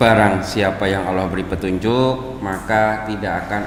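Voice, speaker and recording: With a strong Jakarta accent, a man talks in a fairly low voice. The recording has audible room echo and noticeable background noise. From Jakarta, Indonesia (Betawi-Solo mixed family). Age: 20s. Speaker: Islamic preacher. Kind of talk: religious lecture. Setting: mosque with live audience. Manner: conversational, engaging the audience with questions.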